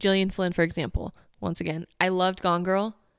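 A woman talks fairly quickly with her voice at a medium pitch. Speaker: podcast host. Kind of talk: casual chat. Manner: fast talker.

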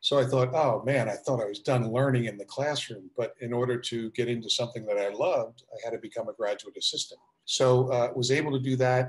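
An American-accented man talks very fast at medium pitch, with fairly even intonation and hardly any pauses. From South Jersey, near Philadelphia. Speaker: basketball coach and executive. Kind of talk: interview.

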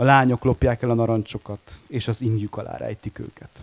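With a dry, close sound and no echo, a man has a normal speaking voice, medium in pitch, at a moderate pace with fairly even intonation. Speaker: editor-in-chief, publisher. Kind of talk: panel discussion. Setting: stage with audience.

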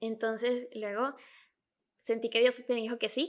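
A woman with a Venezuelan accent speaks in a fairly high pitch. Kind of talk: casual chat. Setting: remote recording.

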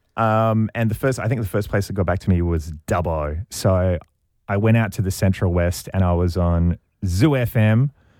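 At a moderate pace, a man with a very deep, low pitch and a dark, mellow tone speaks with ordinary pitch variation on a very clean recording with a silent background. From Australia, Sydney. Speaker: radio host. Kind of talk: interview.

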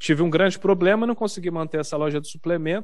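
This man has an ordinary speaking voice. His pitch is fairly high, with ordinary variation. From Minas Gerais, Brazil (Uberaba). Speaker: gaming streamer. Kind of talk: casual chat.

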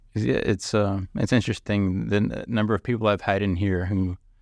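A man with fairly even intonation in a very clean recording with a silent background. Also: dry, close sound with no echo. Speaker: newspaper reporter hosting podcast. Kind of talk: interview.

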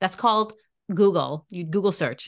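A woman's animated tone with ordinary pitch variation over a quiet background. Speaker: podcast host. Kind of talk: casual chat.

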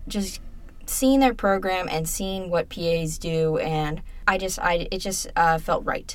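An ordinary speaking voice from a woman, fairly low in pitch, at a fairly slow pace. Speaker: student podcast co-host. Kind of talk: casual chat.

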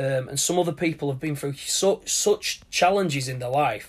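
A man with a British accent talks at a moderate pace. His pitch is fairly high. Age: 30s. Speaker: podcast host. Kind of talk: motivational monologue. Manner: hesitant, with fillers.

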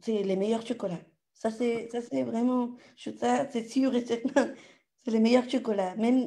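A woman with a strong Latin American accent speaks fairly slowly in a fairly high voice, her tone dark and mellow and her intonation fairly even. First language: Spanish (speaking French). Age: 30s. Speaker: audience participant. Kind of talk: casual Q&A. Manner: halting.

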